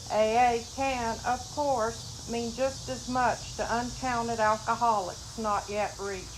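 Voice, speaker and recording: With audible room echo, a woman speaks at a fairly slow pace in a fairly high voice with fairly even intonation. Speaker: recovering alcoholic, meeting member. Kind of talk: reading aloud. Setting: recovery meeting. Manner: loud.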